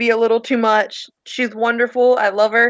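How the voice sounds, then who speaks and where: A woman with a high voice speaks in a strong Southern US accent. Her delivery is fairly slow and monotone, with flat intonation. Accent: heavy Southern US. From Virginia, US South. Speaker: tabletop role-play player. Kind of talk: role-play narration; casual chat. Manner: halting.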